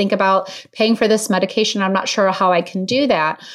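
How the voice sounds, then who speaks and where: Fairly even intonation and a moderate tempo mark an ordinary speaking voice. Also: woman. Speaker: clinical social worker. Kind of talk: expert interview.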